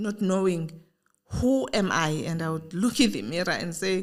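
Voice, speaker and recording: A woman with a plain, everyday voice at a moderate pace. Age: 60s. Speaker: podcast host, founder. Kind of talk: interview conversation.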